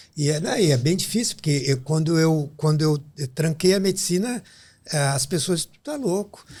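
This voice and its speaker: A voice with a dark, mellow tone and a southern Brazilian accent speaks at a moderate pace with ordinary pitch variation. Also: man, fairly high pitch for a man. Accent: gaúcho Brazilian Portuguese. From southern Brazil, Rio Grande do Sul (São Borja). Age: 60s. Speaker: pediatric neurologist. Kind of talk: podcast interview.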